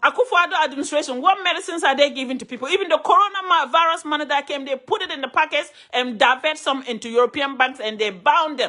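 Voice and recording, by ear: A woman talks fast at a high pitch, with few pauses and ordinary pitch variation. Her tone is bright and sharp.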